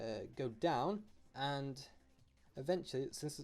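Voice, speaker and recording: Dark and mellow in tone, a man's voice moves with ordinary pitch variation. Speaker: drawing tutorial youtuber. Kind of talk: drawing tutorial. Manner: hesitant, many fillers.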